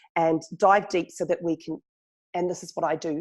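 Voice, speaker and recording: With a New Zealand accent, a woman talks fairly quickly in a fairly low voice and fairly even intonation against a quiet background. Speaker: journalist and chatbot marketer. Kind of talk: podcast interview. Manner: fast.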